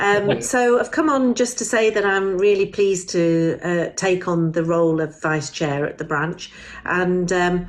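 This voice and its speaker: A woman at a medium pitch and a fairly slow pace, with hardly any pauses, over noticeable background noise. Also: ordinary pitch variation. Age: 60s. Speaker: charity volunteer, vice chair. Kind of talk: recorded video message.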